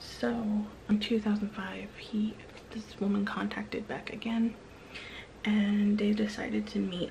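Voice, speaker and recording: Whispering at a fairly slow pace, a woman is heard over light background noise. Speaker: true crime storyteller. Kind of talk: true crime narration to camera. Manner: whispered. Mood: serious, subdued. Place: home room. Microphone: phone near.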